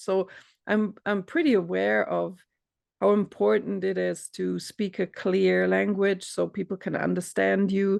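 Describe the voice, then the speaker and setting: The speaker talks at a fairly slow pace. There is a non-native accent. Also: quiet background. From Europe. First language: not English. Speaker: coach. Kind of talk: casual chat.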